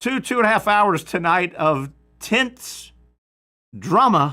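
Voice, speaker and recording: On a very clean recording with a silent background, a man with a Southern accent speaks in a bright, sharp tone. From US South. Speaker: sports radio host. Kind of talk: sports talk show. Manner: casual, filler-heavy.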